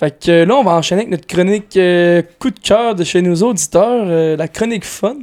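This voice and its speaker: Here a man speaks in a high pitch with ordinary pitch variation at a moderate pace. The sound is dry and close, with no echo. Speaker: football podcast host. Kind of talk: casual chat.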